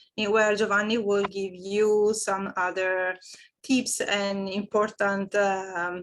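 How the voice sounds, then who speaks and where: With an Italian accent, a woman speaks at a fairly slow pace and a medium pitch. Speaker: HR manager and psychologist. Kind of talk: online meeting presentation. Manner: halting, many fillers.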